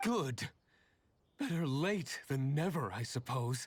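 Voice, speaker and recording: Using a put-on character voice, a man goes raspy and fairly high-pitched, with lively intonation at a fairly slow pace. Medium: video game. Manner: sarcastic.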